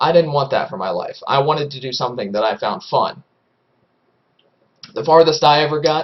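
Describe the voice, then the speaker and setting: A fairly high-pitched, somewhat breathy man talks at a fairly quick pace with ordinary pitch variation, big swings in loudness, and long, frequent pauses. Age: 20s. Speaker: aspiring esports caster. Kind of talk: casual monologue. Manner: hesitant, many fillers.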